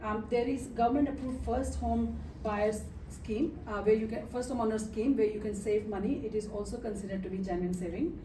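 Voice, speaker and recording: A woman with a fairly high pitch talks at a fairly quick pace amid noticeable background noise and audible room echo. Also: ordinary pitch variation. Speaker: mortgage broker. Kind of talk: expo presentation. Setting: stage with audience. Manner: fast.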